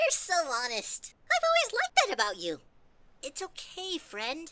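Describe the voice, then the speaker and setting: An extremely high pitch marks this put-on character voice. It moves at a moderate pace. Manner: crooning, falsely sweet.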